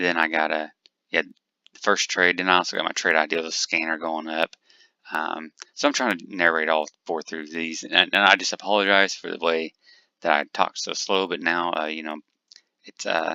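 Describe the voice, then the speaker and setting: A man speaks at a moderate pace in a very deep, low pitch with flat, monotone intonation. His loudness swings widely. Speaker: day trader. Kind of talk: screen-share trading tutorial. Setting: home desk with multiple monitors. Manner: soft-spoken.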